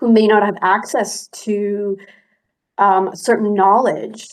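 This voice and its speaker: The speaker is a woman. She talks with monotone, flat intonation. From Cantonese-speaking region, immigrated as a child. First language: Cantonese. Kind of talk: casual chat.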